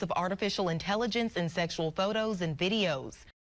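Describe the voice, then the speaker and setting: A woman speaks at a medium pitch with ordinary pitch variation. Music plays in the background. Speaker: TV news anchor and reporter. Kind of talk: TV news anchoring and field reporting. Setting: on-location field reporting.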